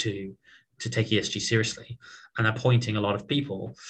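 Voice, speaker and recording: With a British accent, a man speaks at a medium pitch. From southern England (Portsmouth). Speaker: tech startup founder and CEO. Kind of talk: interview conversation.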